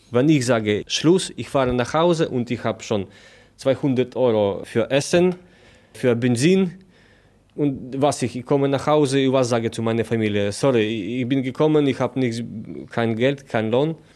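Speaking at a medium pitch with ordinary pitch variation, a man with a Polish accent is heard in a very clean recording with a silent background. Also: moderate pace. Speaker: migrant worker. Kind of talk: interview.

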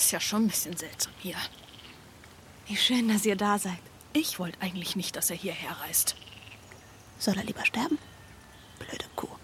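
Whispering in a shrill, put-on character voice, a woman goes at a moderate pace with long, frequent pauses. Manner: bitchy, snappish.

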